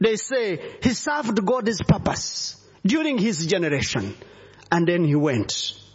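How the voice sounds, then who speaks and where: A man with an African accent speaks at a fairly slow pace in a high pitch with very wide pitch swings. Noticeable background noise runs underneath. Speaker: visiting bishop preacher. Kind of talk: sermon.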